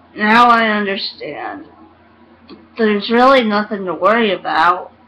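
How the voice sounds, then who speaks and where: Noticeable background noise accompanies a woman talking at a fairly slow pace. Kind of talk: ghost story reading.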